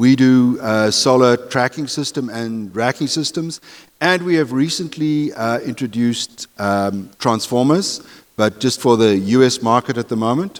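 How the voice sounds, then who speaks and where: At a fairly slow pace, a man speaks with a medium pitch. His pitch variation is ordinary. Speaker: solar industry executive. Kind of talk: panel discussion. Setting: conference stage with audience.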